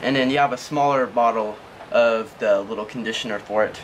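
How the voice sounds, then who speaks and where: Light background noise accompanies speech at a moderate pace with ordinary pitch variation. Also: man. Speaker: product reviewer. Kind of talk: product review tutorial. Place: garden. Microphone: camera far.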